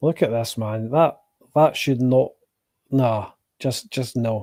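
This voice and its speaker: A man speaks very slowly at a medium pitch. His tone is dark and mellow, with fairly even intonation. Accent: Scottish. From Scotland. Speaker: food reaction streamer. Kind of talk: live watch-along commentary. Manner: casual, sweary.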